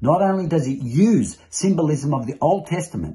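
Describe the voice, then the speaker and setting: His tone is dark and mellow, and this man's voice carries vocal fry. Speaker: religious teacher. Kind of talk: sermon-like teaching. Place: home room. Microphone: phone near.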